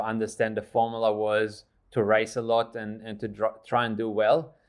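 The man's delivery is monotone and flat. He keeps a moderate pace. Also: hardly any pauses. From Australia. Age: 30s. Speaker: trail runner, coach and entrepreneur. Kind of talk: interview.

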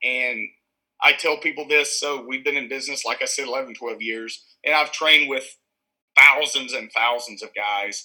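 At a moderate pace, a man speaks at a fairly high pitch with fairly even intonation and a bright, sharp tone. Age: 40s. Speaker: martial arts gym co-owner. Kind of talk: casual chat.

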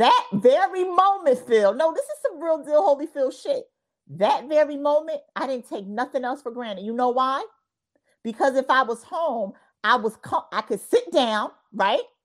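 The woman's voice is high-pitched, with lively intonation and an animated tone. She keeps a moderate pace. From US Northeast, New Jersey. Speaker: podcast host. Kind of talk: interview. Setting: video call.

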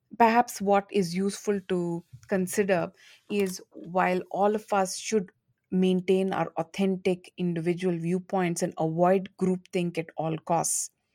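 A woman speaks at a fairly slow pace in a medium pitch, her intonation monotone and flat and her tone dark and mellow. The sound is dry and close with no echo, on a very clean recording with a silent background. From India. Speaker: diversity and inclusion consultant, former lawyer. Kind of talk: interview.

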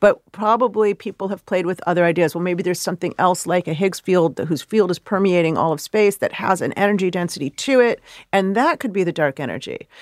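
In a dry, close recording with no echo and a very clean, silent background, a woman speaks in a plain, everyday voice at a medium pitch, with ordinary pitch variation, a fairly quick pace and hardly any pauses. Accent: American. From US Midwest, Chicago. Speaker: astrophysicist. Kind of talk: interview.

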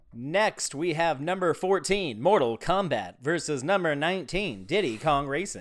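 Lively intonation and vocal fry at a moderate pace, with hardly any pauses, on a very clean recording with a silent background. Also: man, fairly high pitch for a man. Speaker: podcast co-host. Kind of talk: casual chat.

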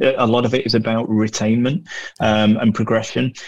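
At a moderate pace and medium pitch, a man with a northern English accent speaks in a monotone, flat intonation. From northern England. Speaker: hospitality media professional. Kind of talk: casual interview chat.

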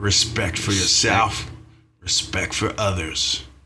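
Music plays behind a man using a put-on character voice, raspy and fairly low. He speaks at a fairly slow pace.

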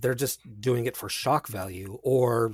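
The man's voice sits at a medium pitch. It carries a somewhat breathy quality. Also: very clean recording, silent background. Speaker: podcast guest and music composer. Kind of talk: casual chat.

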